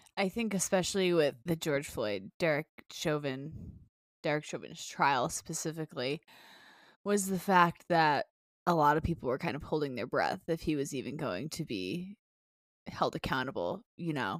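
With long, frequent pauses and lively intonation, a woman speaks at a moderate pace in a very deep, low pitch with vocal fry, the sound dry and close with no echo on a very clean recording with a silent background. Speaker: podcast co-host. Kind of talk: casual chat.

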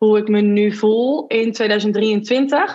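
A woman is talking here. Her pitch is medium. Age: 30s. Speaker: marketing consultant and entrepreneur. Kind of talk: personal testimony in interview.

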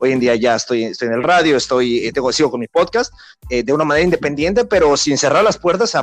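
Fairly quick in pace and lively in intonation, this is an ordinary speaking voice. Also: man. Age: 20s. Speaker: sports podcast host and football commentator. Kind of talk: interview (being interviewed).

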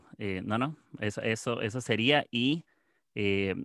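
Recorded dry and close with no echo over a quiet background, a man with a Costa Rican accent speaks with ordinary pitch variation. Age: 20s. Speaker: podcast host. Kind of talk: casual chat.

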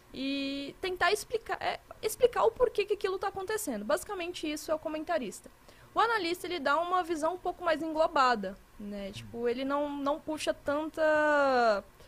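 A woman's extremely high voice with very wide pitch swings, a moderate pace and noticeable background noise. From Minas Gerais, Brazil. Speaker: esports commentator. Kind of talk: casual chat.

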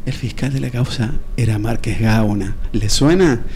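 The delivery is very slow, with lively intonation. Audible room echo and noticeable background noise fill the recording. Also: man. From Buenos Aires, Argentina. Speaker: doctor. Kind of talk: radio interview. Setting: studio. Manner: halting, many repetitions.

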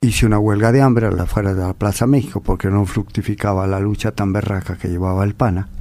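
Very fast and fairly low, a man's dark, mellow voice keeps a fairly even intonation. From Mexico. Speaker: bullfighter. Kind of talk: interview. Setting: radio studio.

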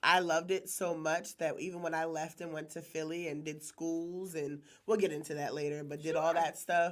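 Speaking with an American accent, a woman with a fairly low pitch uses monotone, flat intonation at a moderate pace with hardly any pauses. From Maryland, Harford County. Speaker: chef and catering business owner. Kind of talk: casual chat.

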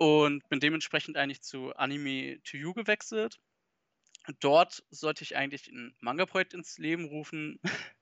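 He has an ordinary speaking voice, a man with a fairly high pitch, moving at a moderate pace with ordinary pitch variation. His loudness swings widely. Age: 20s. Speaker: manga news site project lead. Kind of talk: casual interview.

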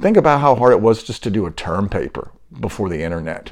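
Vocal fry runs through this man's fairly quick speech as his pitch swings very widely. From US, military upbringing (moved around). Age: 60s. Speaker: podcast host. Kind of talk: casual monologue.

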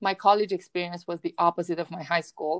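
A woman speaks at a fairly low pitch with a Romanian accent and fairly even intonation. The recording is very clean, with a silent background and a dry, close sound that has no echo. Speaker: university professor and podcast host. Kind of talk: casual interview.

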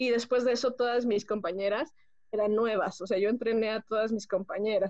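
A woman speaks at a moderate pace. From Mexico, Pachuca, Hidalgo. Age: 20s. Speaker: homemaker. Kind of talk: testimony.

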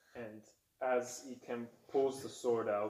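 The background is quiet and the intonation fairly even in an unforced reading voice.

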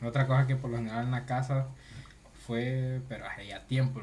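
There is audible room echo as a man at a medium pitch speaks at a moderate pace. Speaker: podcast co-host. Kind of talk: casual chat.

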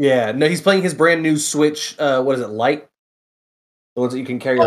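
A man with a normal speaking voice talks at a fairly quick pace, his intonation fairly even. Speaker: guest reviewer. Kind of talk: casual chat.

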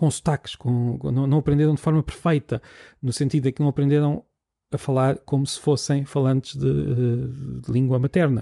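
A fairly high-pitched man with a European Portuguese accent, a dark, mellow tone and a somewhat breathy quality, fairly quick in pace, with a dry, close sound and no echo. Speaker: podcast host, linguist. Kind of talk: solo educational podcast. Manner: halting, repeats words.

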